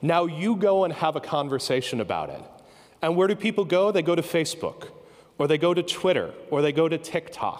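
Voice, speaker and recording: Fairly quick delivery with ordinary pitch variation and a quiet background. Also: man, high pitch for a man. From United States. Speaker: professor. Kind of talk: conference keynote talk. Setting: stage with audience. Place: stage. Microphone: handheld.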